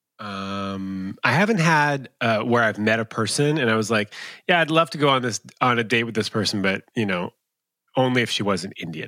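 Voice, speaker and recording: A man with a bright, sharp tone and lively intonation speaks at a moderate pace, in a very clean, dry, close recording with a silent background and no echo. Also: medium pitch for a man. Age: 30s. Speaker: love coach. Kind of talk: casual chat.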